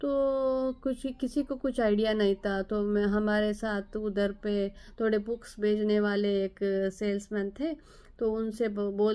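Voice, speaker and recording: The speaker is a woman. Her pitch is fairly high. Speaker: nurse and vlogger. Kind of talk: personal vlog storytelling. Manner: halting, with hesitations.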